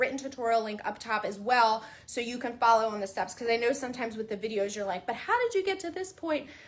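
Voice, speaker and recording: The voice is loud, with a bright, sharp tone. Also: woman. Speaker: crafting tutorial host. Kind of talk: tutorial.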